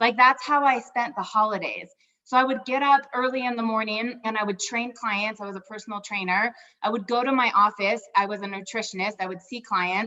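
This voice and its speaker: Fairly quick and animated, a woman talks at a fairly high pitch in a bright, sharp tone. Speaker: network marketing leader. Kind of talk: motivational live stream talk. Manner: fast.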